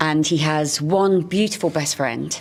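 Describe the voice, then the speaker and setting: This speaker talks at a moderate pace with ordinary pitch variation and a Lancashire accent, over noticeable background noise. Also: woman. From northern England, Blackpool. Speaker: musical theatre actress. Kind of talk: interview.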